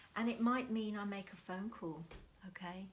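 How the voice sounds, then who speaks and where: A woman with a somewhat breathy, medium-pitched voice talks with fairly even intonation. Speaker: mindfulness teacher. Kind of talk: talk to camera on mindfulness. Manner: soft, whispering; calm.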